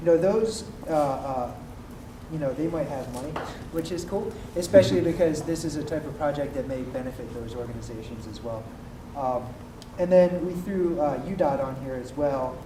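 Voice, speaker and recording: A man with a fairly high pitch talks with long, frequent pauses, ordinary pitch variation and big swings in loudness. Noticeable background noise and audible room echo surround him. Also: moderate pace. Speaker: workshop participant. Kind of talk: group report-back.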